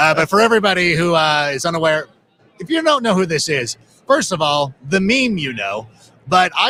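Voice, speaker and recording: Speaking at a moderate pace with an American accent, the man has a high pitch, very wide pitch swings, and a bright, sharp tone. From Ohio. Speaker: podcast host. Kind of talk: casual interview. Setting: live stream from the Super Bowl media center. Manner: animated.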